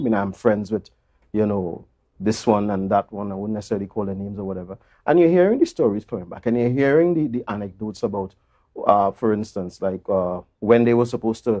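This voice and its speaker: The background is quiet as a man talks at a very fast pace. His fairly low voice shows ordinary pitch variation. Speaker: interview guest. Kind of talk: interview answer. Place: studio. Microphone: lapel.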